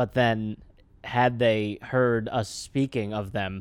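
This is an ordinary speaking voice in an American accent, with fairly even intonation. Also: man. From New York City (the Bronx). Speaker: comedian and podcast host. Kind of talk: casual chat.

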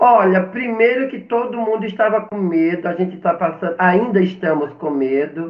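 The man's pitch is high. He speaks with hardly any pauses. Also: ordinary pitch variation, moderate pace. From Brazil, Paraíba; moved to São Paulo at about 10. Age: 50s. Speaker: drag queen, actress and math teacher. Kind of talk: casual interview on a live stream.

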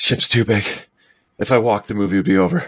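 In a put-on character voice, a man rattles along at a very fast pace with a fairly low pitch. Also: very even loudness.

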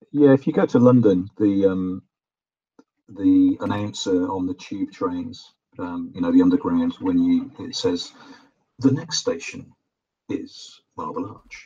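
A fairly slow pace with a British accent. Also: man. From UK. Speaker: guest, arcade enthusiast. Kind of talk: casual chat. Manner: halting, many fillers and repetitions.

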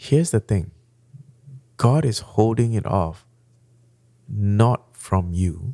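The recording is very clean, with a silent background, as a man with a Malaysian accent and a fairly low pitch speaks in a dark, mellow tone. His intonation is lively, his pace is very slow, and his pauses are long and frequent. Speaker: pastor. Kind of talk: sermon-style teaching in a podcast chat.

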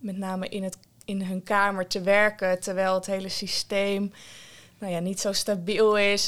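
On a very clean recording with a silent background, a woman speaks in a flat monotone. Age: 20s. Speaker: community psychiatric nurse. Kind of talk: interview conversation. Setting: at her workplace.

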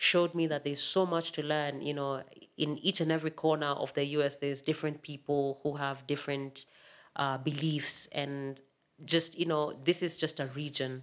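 The delivery is monotone, with flat intonation. It moves at a moderate pace. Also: woman, very deep, low pitch for a woman. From Kenya (Makueni County, eastern Kenya). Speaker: percussionist. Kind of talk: interview.

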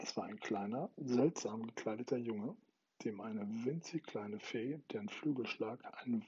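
Plain reading aloud makes up the recording.

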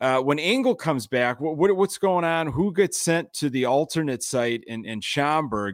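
A man with an American accent, fairly high in pitch, at a moderate pace with hardly any pauses and lively intonation, dry and close with no echo on a very clean recording with a silent background. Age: 40s. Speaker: podcast host. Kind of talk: casual chat. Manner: halting.

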